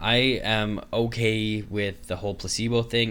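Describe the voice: This man's voice has a fairly low pitch and a fairly bright tone.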